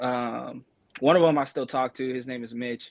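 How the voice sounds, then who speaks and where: The man speaks with an American accent at a medium pitch. His intonation is monotone and flat. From Colorado (Pueblo). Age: 20s. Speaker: rapper. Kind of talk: casual interview. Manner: halting.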